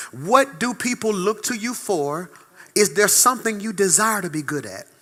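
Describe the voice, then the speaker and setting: A man's raised, projected voice, high in pitch and bright, sharp in tone, animated, with lively intonation and big swings in loudness. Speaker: pastor. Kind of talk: sermon. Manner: fast.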